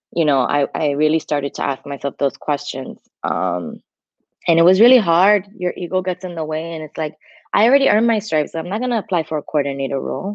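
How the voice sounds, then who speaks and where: With an American accent, a woman speaks at a fairly low pitch. Her intonation is lively. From New York City, Queens. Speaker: entertainment marketer. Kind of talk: casual interview.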